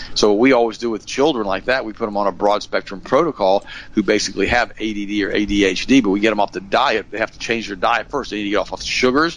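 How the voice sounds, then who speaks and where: Speaking at a fairly quick pace, a man with a normal speaking voice keeps a fairly low pitch and fairly even intonation. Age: 60s. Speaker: health and nutrition expert. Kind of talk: interview.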